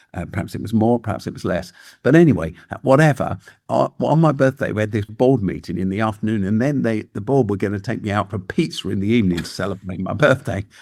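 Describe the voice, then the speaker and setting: Here a man speaks very fast with lively intonation and a fairly low pitch. The recording is very clean, with a silent background. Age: 70s. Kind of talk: podcast interview. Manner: halting, with frequent fillers and restarts.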